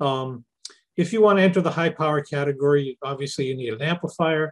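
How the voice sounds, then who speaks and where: Somewhat breathy, a man's voice moves at a fairly quick pace. He is the only speaker heard. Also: quiet background. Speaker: presenter. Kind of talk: lecture. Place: home room.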